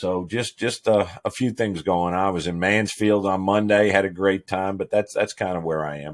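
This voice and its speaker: In a very clean recording with a silent background, a man with a fairly low pitch and an unremarkable speaking voice talks at a moderate pace with fairly even intonation and hardly any pauses. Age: 60s. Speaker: fire chief. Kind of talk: casual interview.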